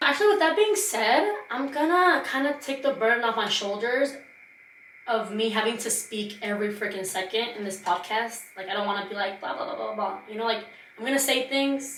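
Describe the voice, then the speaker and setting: A woman talks at a fairly quick pace in an animated tone with a fairly high pitch. Audible room echo and noticeable background noise come through. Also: ordinary pitch variation. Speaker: podcast host. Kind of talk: casual monologue. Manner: fast.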